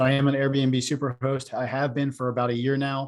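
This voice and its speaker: Medium-pitched male voice on a very clean recording with a silent background. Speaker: real estate investor and realtor. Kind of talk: presentation talk. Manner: hesitant with many fillers.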